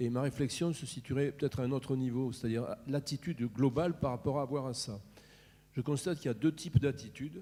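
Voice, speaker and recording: A man talks at a very fast pace in a dark, mellow tone at medium pitch. His voice is somewhat breathy. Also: ordinary pitch variation. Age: 60s. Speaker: healthcare consultant, audience member. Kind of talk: audience contribution at round table. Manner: hesitant, repeats words.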